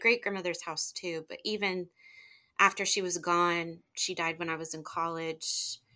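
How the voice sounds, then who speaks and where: A woman's bright, sharp voice at medium pitch, on a very clean recording with a silent background. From northern Ohio, Lake Erie area. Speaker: teacher. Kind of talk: life story interview.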